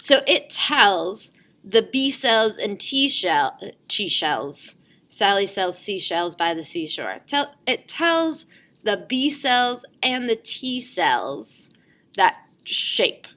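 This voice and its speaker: A woman's bright, sharp voice with vocal fry, fairly high pitch, very wide pitch swings and a very slow pace, on a very clean recording with a silent background. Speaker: school teacher. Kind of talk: lecture. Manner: casual.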